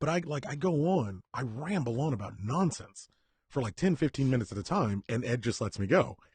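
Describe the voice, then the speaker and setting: With very wide pitch swings around a medium pitch, a man speaks fairly quickly in a somewhat breathy voice, the sound dry and close with no echo. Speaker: podcast co-host. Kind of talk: casual chat.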